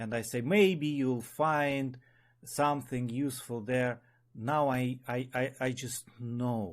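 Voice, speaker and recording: Speaking at a very slow pace, a man with a Russian accent keeps to a medium pitch. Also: fairly even intonation. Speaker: spiral dynamics teacher. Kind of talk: online meeting talk. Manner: halting.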